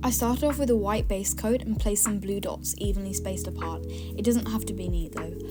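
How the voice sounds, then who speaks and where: A woman talks at a fairly quick clip while music plays in the background. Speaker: nail art tutorial creator. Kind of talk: tutorial voice-over. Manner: casual, chatty.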